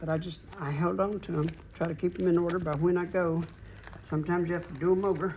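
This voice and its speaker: A man with a Southern US accent talks very fast at a high pitch. His intonation is flat and monotone. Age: 70s. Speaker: NASCAR memorabilia collector. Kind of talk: interview.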